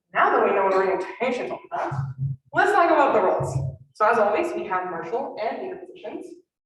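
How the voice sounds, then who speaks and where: The speaker races along at a very fast pace with very wide pitch swings, and the room echo is audible. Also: woman, high pitch for a woman. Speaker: student orientation coordinator. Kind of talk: presentation.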